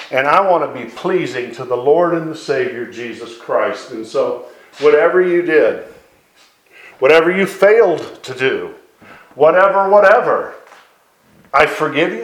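Heard with audible room echo, the speaker uses lively intonation and takes long, frequent pauses. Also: man, high pitch for a man, fairly slow pace. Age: 50s. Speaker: evangelist. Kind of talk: sermon. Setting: live recording.

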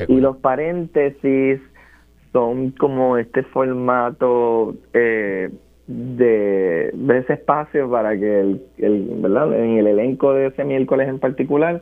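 The speaker is a man with a medium pitch and ordinary pitch variation. He talks at a very slow pace. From Puerto Rico, Barranquitas. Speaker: scientist and theatre performer. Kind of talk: interview.

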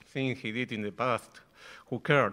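A man with a Spanish accent at a medium pitch, bright, sharp tone, ordinary pitch variation and a moderate pace, in a very clean recording with a silent background. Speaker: bandoneon player and composer. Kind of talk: panel discussion. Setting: live stage with audience.

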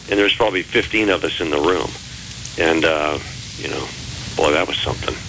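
With an American accent, the speaker moves at a fairly quick pace with ordinary pitch variation, long and frequent pauses, and noticeable background noise. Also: man, very deep, low pitch for a man. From Texas. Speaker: blues musician and songwriter. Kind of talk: interview. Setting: phone call.

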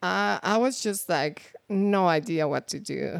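With a Mexican accent, a woman speaks at medium pitch and a fairly slow pace. Her intonation is lively, and the recording is very clean with a silent background. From Mexico. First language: Spanish. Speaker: guest talking about becoming a US citizen. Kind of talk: casual interview.

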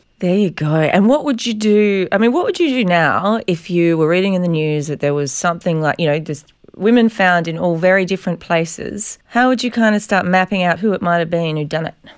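With an Australian accent, a woman speaks at a fairly quick pace in a fairly low pitch, hardly pausing at all. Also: ordinary pitch variation. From South Australia. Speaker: journalist and podcast host. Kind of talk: casual interview chat.

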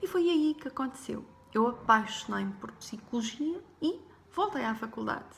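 A woman's high-pitched voice at a moderate pace, with ordinary pitch variation, over noticeable background noise. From Portugal, Porto. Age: 40s. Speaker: life coach and podcaster. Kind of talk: personal story monologue.

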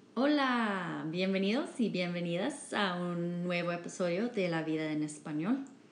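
Lively intonation runs with hardly any pauses, and audible room echo surrounds the voice. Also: woman, fairly low pitch for a woman. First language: English (speaking Spanish). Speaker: podcast host, Spanish learner. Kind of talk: casual chat. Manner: halting, many fillers.

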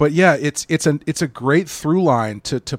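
Recorded dry and close with no echo, a man speaks in an ordinary speaking voice with lively intonation. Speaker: podcast host. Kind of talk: casual chat. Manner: casual, rambling.

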